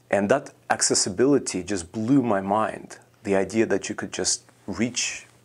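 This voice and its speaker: Speaking at a moderate pace, a man with a Russian accent has a fairly low pitch. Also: ordinary pitch variation. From Russia, Moscow. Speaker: composer. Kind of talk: interview. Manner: hesitant, many fillers.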